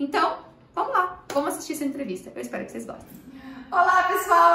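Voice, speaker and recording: A woman raises and projects her high-pitched voice at a fairly quick pace. Noticeable background noise and audible room echo surround her. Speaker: piano teacher and channel host. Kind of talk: interview intro, casual talk to camera. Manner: fast.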